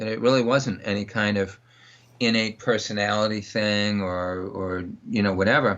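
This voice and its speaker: It is a plain, everyday voice of a man at medium pitch. He keeps a moderate pace with ordinary pitch variation. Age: 60s. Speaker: dog trainer. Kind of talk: interview.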